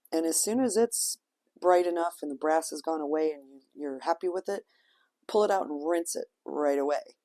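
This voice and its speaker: A woman speaks at a moderate pace and a fairly low pitch, with ordinary pitch variation and big swings in loudness. The background is quiet. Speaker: wig stylist and seller. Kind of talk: tutorial; casual chat.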